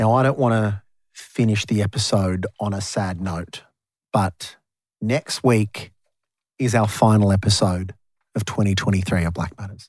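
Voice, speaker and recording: A man talks at a fairly low pitch in an Australian accent. He leaves long, frequent pauses. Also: moderate pace, very clean recording, silent background. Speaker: radio host and podcast host. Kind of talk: casual chat. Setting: studio. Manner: animated.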